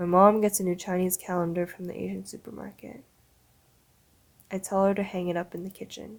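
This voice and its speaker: Speaking at a fairly quick pace with a Canadian accent, a woman keeps a monotone, flat intonation amid big swings in loudness and long, frequent pauses. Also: medium pitch for a woman. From Canada. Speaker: spoken word poet. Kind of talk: spoken word performance.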